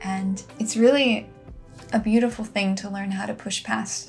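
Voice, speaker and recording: Soft-spoken and gentle in tone, the voice keeps a fairly even intonation at a fairly slow pace, with music in the background. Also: woman. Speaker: lifestyle and wellness vlogger. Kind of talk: casual talk to camera, heart-to-heart reflection. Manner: soft-spoken, gentle.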